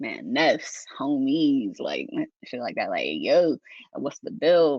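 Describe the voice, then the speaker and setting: A Southern accent delivered at a very slow pace. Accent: sounds Southern. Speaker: linguist. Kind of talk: casual discussion. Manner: animated, many repetitions.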